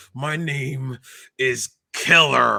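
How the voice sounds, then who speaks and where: This is a raspy, put-on character voice pitched in the low-to-middle range. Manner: talking through clenched teeth.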